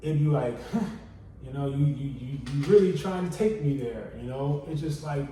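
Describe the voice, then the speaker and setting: Fairly high-pitched male voice with audible room echo. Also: ordinary pitch variation, moderate pace. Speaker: podcast co-host. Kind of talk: casual chat. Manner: soft-spoken.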